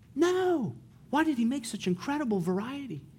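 A man with a Californian accent, a dark, mellow tone and very wide pitch swings. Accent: Californian American English. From US, San Diego. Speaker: missionary preacher. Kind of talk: sermon.

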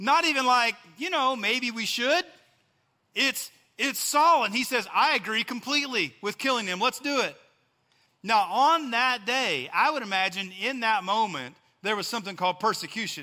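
On a very clean recording with a silent background, a man with a West Texas accent uses a raised, projected voice at an extremely high pitch, with a bright, sharp tone, lively intonation, and a moderate pace. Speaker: pastor. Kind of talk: sermon. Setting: church.

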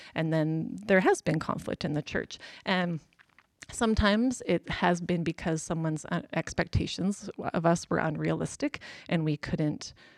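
A woman with a western Canadian accent has a very deep, low pitch. The recording is very clean with a silent background, and the sound is dry and close with no echo. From Alberta, Canada. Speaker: pastor's wife. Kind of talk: interview.

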